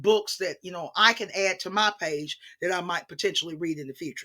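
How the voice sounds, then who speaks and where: A woman with a bright, sharp tone and lively intonation talks at a moderate pace in a very clean recording with a silent background. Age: 60s. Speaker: teacher and book channel host. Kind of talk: casual monologue vlog. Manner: conversational with many fillers.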